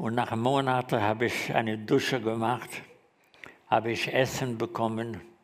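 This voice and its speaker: Fairly even intonation at a moderate pace, with long, frequent pauses and audible room echo. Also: man, medium pitch for a man. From Germany, Frankfurt. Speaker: Holocaust survivor. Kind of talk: testimony. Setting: stage with audience. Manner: halting.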